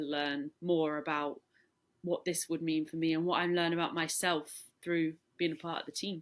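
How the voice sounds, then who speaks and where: Very cleanly recorded against a silent background, a woman with a British accent speaks at a moderate pace and fairly low pitch in a flat, monotone way. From England. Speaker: professional footballer. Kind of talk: interview. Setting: at home in her room.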